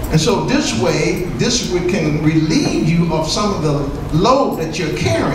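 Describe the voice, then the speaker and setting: A man's voice comes through with noticeable background noise and audible echo from the room. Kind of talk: sermon. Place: church.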